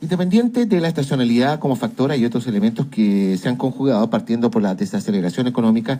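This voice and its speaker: A man's medium-pitched, dark, mellow voice at a fairly quick pace with very wide pitch swings. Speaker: radio host. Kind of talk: radio news talk. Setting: radio studio.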